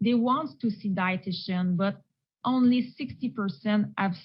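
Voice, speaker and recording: A somewhat breathy woman with a Quebec accent speaks at a medium pitch with ordinary pitch variation. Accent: French-Canadian accent in English. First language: French. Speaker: renal dietitian. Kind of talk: presentation. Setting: virtual conference. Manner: slow.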